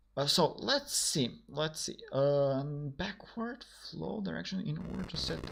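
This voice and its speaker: Noticeable noise sits behind a man who talks fairly slowly. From North Macedonia. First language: Macedonian. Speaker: programmer streaming a coding session. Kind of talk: live stream coding chat. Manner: halting, many fillers and repetitions.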